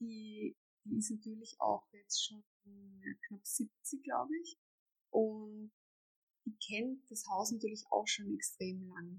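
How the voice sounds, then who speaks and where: This woman talks at a very slow pace with long, frequent pauses and a somewhat breathy voice. Her pitch varies in an ordinary way, and the sound is dry and close with no echo. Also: fairly high pitch for a woman, big swings in loudness. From Austria, Vienna. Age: 30s. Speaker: homeowner renovating an old house. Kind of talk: interview.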